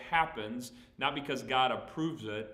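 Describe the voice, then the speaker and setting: A man with a slight Southern US accent, amid audible room echo and noticeable background noise. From Texas. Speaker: pastor. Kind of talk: Bible Q&A teaching. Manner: casual, conversational.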